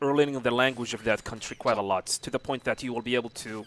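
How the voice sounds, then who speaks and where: The recording of this man's voice is dry and close with no echo. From Saudi Arabia. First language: Arabic. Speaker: video game streamer. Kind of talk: live stream commentary.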